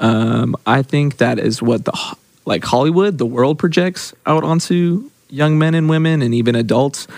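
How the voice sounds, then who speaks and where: Here is a man with a normal speaking voice at a medium pitch. His intonation is lively. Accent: American. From Oklahoma. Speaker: church ministry intern. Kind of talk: casual chat.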